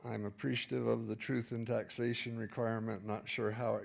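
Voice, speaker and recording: With an American accent, a man talks at a moderate pace in a fairly low pitch, using an ordinary speaking voice. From Utah. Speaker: public commenter, landlord. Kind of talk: public comment at board meeting. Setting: school board meeting.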